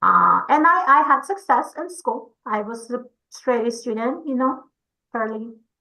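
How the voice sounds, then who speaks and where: With a Spanish accent, a woman speaks at a fairly slow pace in a bright, sharp tone. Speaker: English learner program educator. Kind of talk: informational webinar. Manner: conversational, with fillers.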